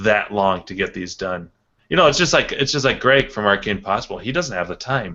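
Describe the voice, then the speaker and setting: A man's unremarkable speaking voice, fairly low in pitch with ordinary pitch variation. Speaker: YouTuber who makes top ten and arcade repair videos. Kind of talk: casual chat.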